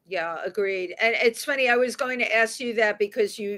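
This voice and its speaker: A woman with a New York accent in a very clean recording with a silent background. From New York City, the Bronx. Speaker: radio talk show host. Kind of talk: interview.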